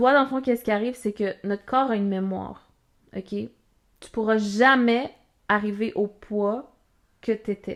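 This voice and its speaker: A woman with a Quebec accent speaks at a fairly slow pace and fairly high pitch, with fairly even intonation. Her loudness swings widely, her pauses are long and frequent, and the recording is very clean with a silent background. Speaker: podcast co-host. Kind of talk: casual chat.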